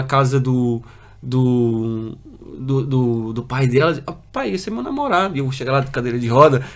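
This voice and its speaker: Audible room echo hangs around this man's voice. He talks at a moderate pace. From Brazil, moved to Portugal at six. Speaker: paralympic para-canoeist. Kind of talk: interview testimony. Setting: studio. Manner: halting, many fillers and repetitions.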